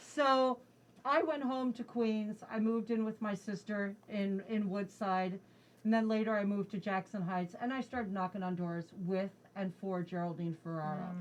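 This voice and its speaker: With an American accent, a woman speaks in an ordinary speaking voice at a moderate pace, her medium pitch showing ordinary variation. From New Jersey. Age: 60s. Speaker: state politician. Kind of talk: interview.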